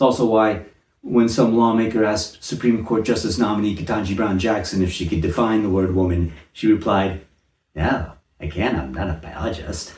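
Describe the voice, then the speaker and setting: Somewhat breathy and fairly low-pitched, a man talks with ordinary pitch variation amid audible room echo. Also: moderate pace. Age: 60s. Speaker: comedic commentator. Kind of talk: satirical monologue.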